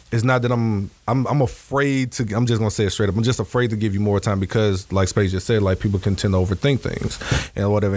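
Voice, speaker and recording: Over noticeable background noise, a man with a fairly low pitch speaks at a very fast pace with fairly even intonation. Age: 30s. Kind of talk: casual chat.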